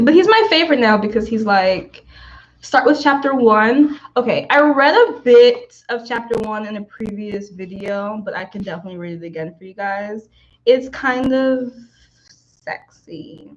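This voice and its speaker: This woman has an ordinary speaking voice, fairly high in pitch. Her intonation is lively, her loudness swings widely, and her pace is moderate. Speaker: author and streamer. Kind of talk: casual livestream chat. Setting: livestream.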